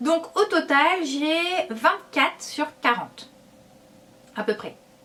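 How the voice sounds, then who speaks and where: The voice is raised and projected, with lively intonation. It moves at a very slow pace. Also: woman. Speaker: wellness YouTuber. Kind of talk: casual video blog. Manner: hesitant, many fillers.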